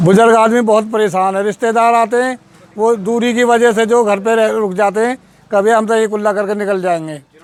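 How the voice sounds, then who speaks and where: Speaking at a high pitch, a man keeps his loudness very even. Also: fairly even intonation, moderate pace. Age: 60s. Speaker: villager. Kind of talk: interview testimony.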